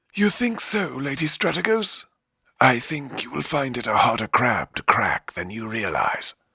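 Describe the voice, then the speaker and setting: Doing a put-on character voice, a man at medium pitch makes very wide pitch swings at a moderate pace, the sound dry and close with no echo. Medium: read story.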